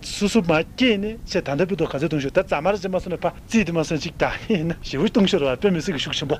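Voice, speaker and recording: Lively intonation at a very fast pace. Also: man. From Tibet. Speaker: Buddhist monk. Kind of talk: sermon.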